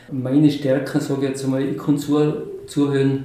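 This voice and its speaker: A man with a fairly high pitch speaks at a fairly slow pace in a monotone, flat intonation. Audible room echo and noticeable background noise surround him. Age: 60s. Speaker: mayoral candidate, retiree. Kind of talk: interview.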